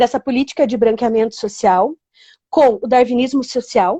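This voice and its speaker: High-pitched woman with a dark, mellow tone, the sound dry and close with no echo. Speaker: teacher. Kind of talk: online live lesson. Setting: livestream.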